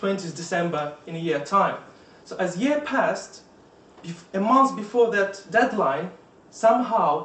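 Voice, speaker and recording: Speaking at a very slow pace with a Russian accent, a man's pitch swings very widely. Audible room echo and noticeable background noise surround him. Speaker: Toastmasters club member. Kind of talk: prepared speech. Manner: halting.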